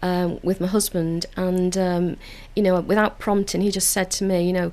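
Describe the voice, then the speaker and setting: A woman with a Liverpool accent speaks in a dark, mellow tone at a medium pitch and moderate pace. Her intonation is monotone and flat, and her loudness very even. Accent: Liverpool (Scouse). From Liverpool, England (Toxteth). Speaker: council community engagement officer. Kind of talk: radio interview. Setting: radio studio.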